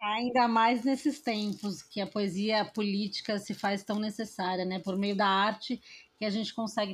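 On a very clean recording with a silent background, a somewhat breathy voice moves at a moderate pace with fairly even intonation and hardly any pauses. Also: woman. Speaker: podcast host. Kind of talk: casual chat.

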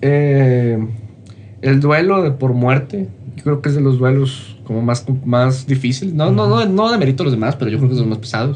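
A man's medium-pitched, somewhat breathy voice at a moderate pace, with ordinary pitch variation and audible room echo. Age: 20s. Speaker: motivational content creator. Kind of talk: casual interview.

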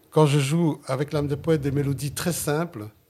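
A man with a Sicilian accent speaks at a medium pitch in a dark, mellow tone that is somewhat breathy. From Flemish Limburg, Belgium, Italian community. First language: Sicilian (speaking French). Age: 60s. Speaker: jazz saxophonist. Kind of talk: interview. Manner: halting.

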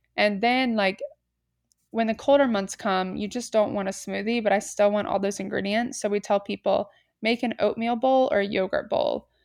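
This is a plain, everyday voice with an American accent and fairly even intonation. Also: woman, fairly high pitch for a woman, moderate pace. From US South, Atlanta, Georgia. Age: 20s. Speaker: entrepreneur. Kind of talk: casual chat. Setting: remote call without video.

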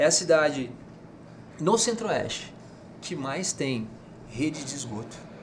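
A man's fairly high voice at a fairly slow pace, with very wide pitch swings, big swings in loudness, long, frequent pauses, noticeable background noise and audible room echo. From Mato Grosso, Brazil (Rondonópolis). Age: 40s. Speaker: politician and businessman. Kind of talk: casual interview.

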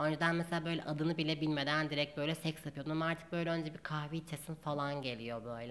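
Very fast and with hardly any pauses, a woman talks in a very deep, low pitch. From Turkey, Gaziantep. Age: 20s. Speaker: doctor. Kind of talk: casual chat.

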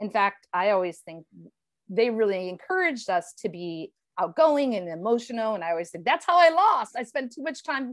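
Pitch swings very widely in this American-accented voice. The pace is fairly quick. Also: woman. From Ohio, Cleveland. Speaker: former game show contestant. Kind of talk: casual chat.

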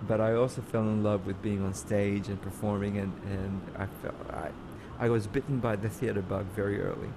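Flat and monotone, a man's fairly low voice moves at a moderate pace against noticeable background noise. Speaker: theater actor. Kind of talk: casual interview chat. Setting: video call.

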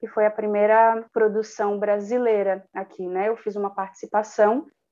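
A woman speaks in a dark, mellow tone. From Cubatão, São Paulo coast (Brazil). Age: 20s. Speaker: actress and performer. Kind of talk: casual interview chat.

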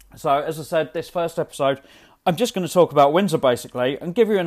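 In a London accent, a man with a fairly high pitch is heard in a very clean recording with a silent background. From England, north London. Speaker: podcast host. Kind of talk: solo travel podcast monologue. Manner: hesitant, many repetitions and fillers.

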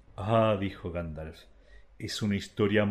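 The pitch moves with ordinary variation. The delivery is plain reading aloud.

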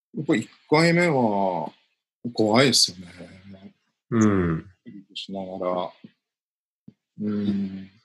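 Very slow and full of long, frequent pauses, this man's fairly low voice has lively intonation and big swings in loudness. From Japan, Aomori (Goshogawara). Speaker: Buddhist priest. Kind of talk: casual chat. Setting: recorded 2020, rebroadcast.

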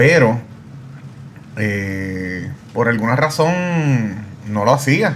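Through noticeable background noise and audible room echo, a man of medium pitch speaks at a very slow pace with lively intonation and long, frequent pauses. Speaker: podcast host. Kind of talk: interview.

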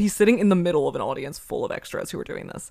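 The woman's tone is animated, and she talks at a very fast pace. The recording is very clean, with a silent background. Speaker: podcast host and YouTube creator. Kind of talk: casual chat.

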